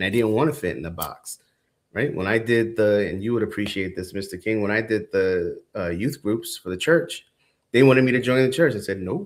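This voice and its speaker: At a fairly quick pace and with ordinary pitch variation, the speaker is heard in a very clean recording with a silent background. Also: man, fairly low pitch for a man. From New York City, the Bronx. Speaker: entrepreneur. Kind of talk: podcast interview.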